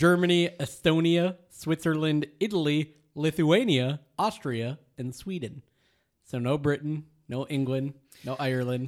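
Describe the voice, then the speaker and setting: In an American accent, an ordinary speaking voice moves at a fairly slow pace. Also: man, fairly high pitch for a man, ordinary pitch variation, very clean recording, silent background. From Michigan, US. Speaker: podcast co-host and producer. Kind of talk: casual chat. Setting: studio.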